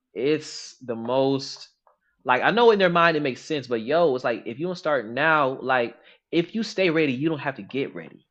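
Man with a fairly high pitch, an ordinary speaking voice, lively intonation and a moderate pace. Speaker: podcast co-host. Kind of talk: casual chat. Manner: casual, conversational.

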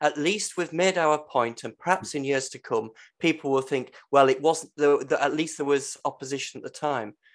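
Against a quiet background, a man with an English accent talks at a fairly slow pace and fairly high pitch. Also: big swings in loudness. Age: 50s. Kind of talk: casual chat. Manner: halting.

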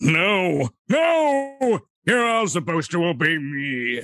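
Using a put-on character voice, a man speaks at a very slow pace, high-pitched for a man, with very wide pitch swings. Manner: bossy, commanding.

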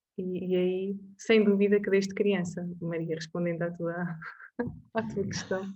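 A woman's medium-pitched, somewhat breathy voice, fairly slow and monotone, with audible room echo. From Portugal, Covilhã. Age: 30s. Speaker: personal finance advisor. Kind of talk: interview.

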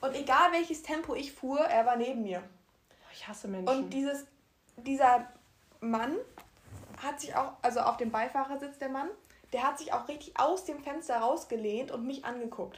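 With long, frequent pauses and big swings in loudness, a woman speaks at a moderate pace in a high pitch with ordinary pitch variation. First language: bilingual, German plus another language (speaking German). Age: 19, young. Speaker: podcast co-host. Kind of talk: casual chat.

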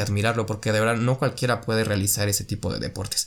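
A man speaks with a Mexican accent. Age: 20s. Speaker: podcast host. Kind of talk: casual monologue.

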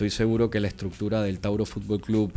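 A man speaks with a Panamanian accent. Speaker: football league commissioner. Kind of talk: radio interview.

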